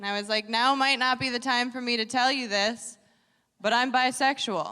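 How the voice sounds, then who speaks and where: A woman with an American accent speaks in a high pitch and a bright, sharp tone. Her intonation is fairly even and her pace moderate. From Wisconsin, US Upper Midwest. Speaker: comedian. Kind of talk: stand-up.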